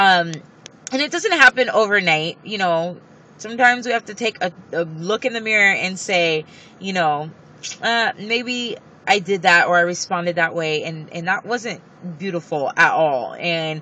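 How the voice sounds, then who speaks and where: The woman's pitch sits in the middle range. She speaks at a moderate pace with lively intonation. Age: 20s. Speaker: beauty vlogger. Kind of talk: motivational vlog talk. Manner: loud at times; giggly.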